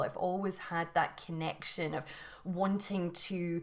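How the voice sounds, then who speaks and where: This woman has a Scottish accent and a fairly low pitch. She speaks at a fairly slow pace. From Scotland. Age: 40s. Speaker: yoga and mindset teacher. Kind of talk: interview. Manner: halting, many repetitions.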